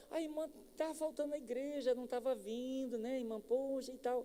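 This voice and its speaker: Fairly quick and high-pitched, a put-on character voice plays over light background noise. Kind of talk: authoritative. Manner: stern, harder, reproachful.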